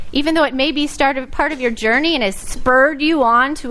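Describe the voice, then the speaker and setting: Speaking at a fairly quick pace, a woman with an American accent has a high voice, and the recording carries audible room echo and noticeable background noise. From US South. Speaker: pastor. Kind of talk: sermon. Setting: church.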